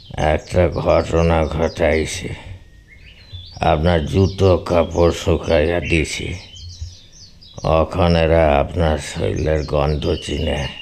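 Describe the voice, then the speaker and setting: In a put-on character voice, a man talks very slowly at a very deep, low pitch with monotone, flat intonation. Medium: read story. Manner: evasive, deferential.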